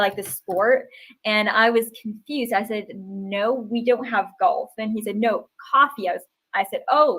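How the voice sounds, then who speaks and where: A woman talks in a plain, everyday voice, pitched fairly high with ordinary pitch variation. She keeps to a fairly slow pace. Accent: American. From US Northeast, New Hampshire. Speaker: English tutor. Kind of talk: interview on a live stream.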